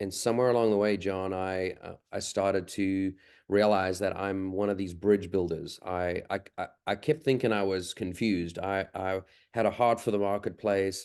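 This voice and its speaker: With a South African accent, a man talks at a moderate pace in a fairly low pitch, his intonation fairly even and the background quiet. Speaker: leadership consultant. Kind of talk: interview.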